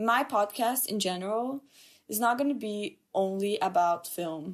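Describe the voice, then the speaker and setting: Her pitch is medium with ordinary variation as this woman speaks with a Portuguese accent. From Brazil. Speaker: podcast host, film student. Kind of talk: solo podcast monologue. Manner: casual, chatty.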